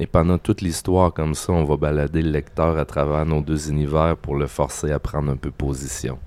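At a moderate pace and with hardly any pauses, a man with a Quebec accent speaks in a very deep, low pitch with monotone, flat intonation. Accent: Québécois. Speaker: comic book artist. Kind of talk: casual interview. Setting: restaurant.

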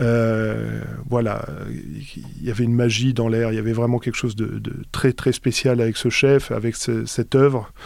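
The recording is very clean with a silent background as a man talks fairly slowly. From France, Alsace. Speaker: orchestral trumpeter. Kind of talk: interview. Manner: halting, many hesitations.

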